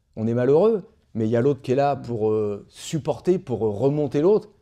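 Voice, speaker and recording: Here a man has a dark, mellow tone and a medium pitch. He talks at a moderate pace with lively intonation against a quiet background. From France, Le Havre (Normandy). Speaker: former boxer and actor. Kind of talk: interview. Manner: halting, many fillers.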